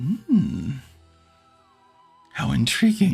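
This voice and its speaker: A man puts on a character voice at a fairly high pitch while faint music plays in the background. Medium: actual play. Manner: playful, theatrical.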